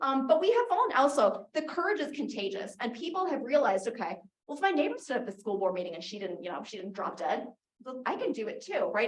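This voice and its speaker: Audible room echo surrounds a woman with a high voice. She speaks at a very fast pace with very wide pitch swings. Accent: American. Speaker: advocacy group founder and speaker. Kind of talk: conference talk.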